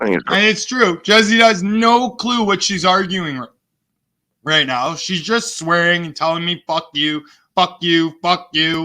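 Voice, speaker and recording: A man talks at a very slow pace with a high pitch and ordinary pitch variation. His tone is bright and sharp. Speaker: streamer doing re-stream commentary. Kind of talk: heated argument and commentary. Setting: online live stream. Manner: animated; loud. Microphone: close to the mic.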